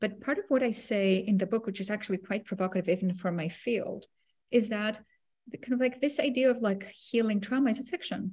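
At a fairly quick pace, a woman talks with a slightly mellow tone, a medium pitch and ordinary pitch variation.

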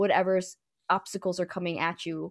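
In an American accent, a woman of medium pitch talks at a moderate pace against a quiet background, with an unremarkable speaking voice. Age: 20s. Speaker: podcast guest. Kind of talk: casual chat.

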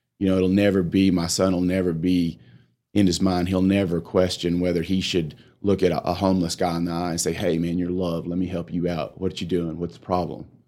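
A man's very deep, low voice with a dark, mellow tone and a West Texas accent, fairly quick and monotone, in a very clean recording with a silent background. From Texas Panhandle. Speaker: chiropractor and homeless charity director. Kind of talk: casual interview.

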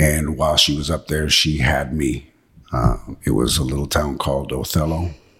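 A man speaks in a very deep, low voice with a monotone, flat delivery at a moderate pace. There is noticeable background noise. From Washington State, US. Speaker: actor. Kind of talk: interview, life story.

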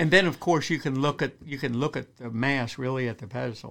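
A man with an American accent and a medium pitch, on a very clean recording with a silent background. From Western Maryland, US. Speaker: wildlife biologist. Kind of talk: casual interview. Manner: halting.

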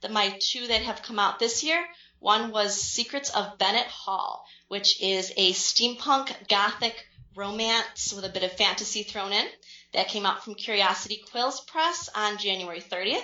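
With an American accent, a woman uses an ordinary speaking voice at a fairly high pitch, with ordinary pitch variation and a fairly slow pace. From central New York. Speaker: author. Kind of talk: casual interview.

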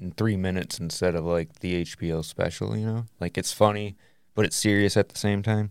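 A man with a plain, everyday voice speaks at a fairly low pitch and fairly even intonation on a very clean recording with a silent background. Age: middle-aged. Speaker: podcast co-host. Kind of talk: casual chat.

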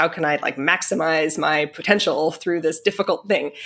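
A woman has a normal speaking voice with a fairly low pitch and ordinary pitch variation, on a very clean recording with a silent background. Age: 40s. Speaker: orchestral flutist. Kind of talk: interview conversation.

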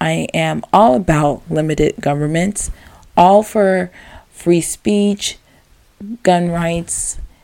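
A woman talks at a very slow pace in a dark, mellow tone. She leaves long, frequent pauses. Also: fairly low pitch for a woman, ordinary pitch variation. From US, Maryland. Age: 20s. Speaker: podcast host. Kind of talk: solo podcast monologue.

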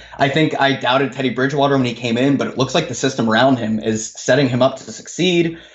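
Amid noticeable background noise, a man speaks at a very fast pace with hardly any pauses, at a medium pitch and with ordinary pitch variation. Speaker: sports betting podcast co-host. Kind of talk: casual sports betting chat. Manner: casual, filler-heavy, halting.

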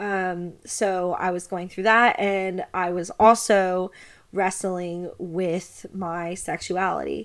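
On a very clean recording with a silent background, a woman with a Kentucky accent speaks at a very slow pace, at medium pitch, in a monotone, flat intonation. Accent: US Southern (Kentucky). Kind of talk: personal monologue.

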